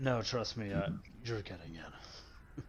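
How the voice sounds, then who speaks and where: A man's put-on character voice, fairly low in pitch, with lively intonation at a fairly slow pace, over clear background noise. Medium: actual play. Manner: casual, friendly.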